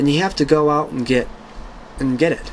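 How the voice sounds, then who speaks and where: Noticeable background noise sits behind a man's voice. He speaks at a moderate pace with a fairly high pitch. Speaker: YouTuber answering viewer questions. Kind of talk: casual Q&A monologue. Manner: hesitant with many fillers.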